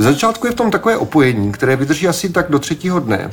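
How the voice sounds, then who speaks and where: A man is speaking. His pace is very fast. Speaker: podcast host. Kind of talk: scripted narration.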